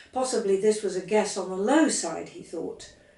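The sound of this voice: A woman speaks at a moderate pace with medium pitch and ordinary pitch variation. Her tone is slightly mellow, and audible room echo surrounds the voice.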